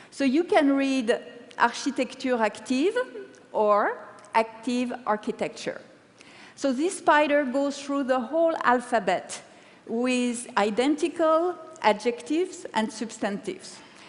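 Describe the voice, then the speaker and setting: Spoken with lively intonation, this voice carries a French accent. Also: woman, high pitch for a woman, fairly slow pace. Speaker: paper-cut artist. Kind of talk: TED talk.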